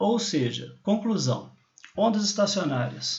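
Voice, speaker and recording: A man at a fairly slow pace with very wide pitch swings, in audible room echo. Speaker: university lecturer. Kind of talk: lecture. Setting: recorded remote class over slides.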